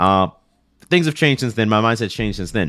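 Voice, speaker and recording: Recorded very cleanly over a silent background, a man with an ordinary speaking voice uses a fairly low pitch and lively intonation. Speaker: podcast host and YouTuber. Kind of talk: casual interview chat.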